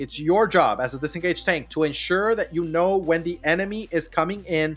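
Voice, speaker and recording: A man's high-pitched voice with ordinary pitch variation, music playing in the background. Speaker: video game guide streamer. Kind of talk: livestream tutorial. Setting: live stream with chat. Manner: fast; repetitive, hesitant with fillers.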